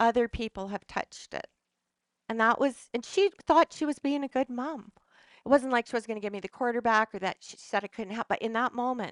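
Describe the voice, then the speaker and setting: Fairly quick speech with ordinary pitch variation, the sound dry and close with no echo, over a quiet background. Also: woman, big swings in loudness. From western Canada. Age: 60s. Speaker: wellness speaker. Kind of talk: talk to a live audience. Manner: halting.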